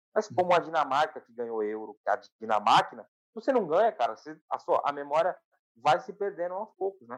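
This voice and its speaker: A man speaks at a high pitch with very wide swings in his pitch. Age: 20s. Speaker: football podcast co-host. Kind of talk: casual football chat. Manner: animated.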